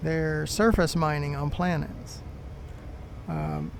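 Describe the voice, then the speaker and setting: A man talks at a fairly slow pace in a space with audible room echo. Noticeable background noise can be heard too. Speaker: gaming YouTuber. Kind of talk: gameplay commentary. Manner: halting, many fillers.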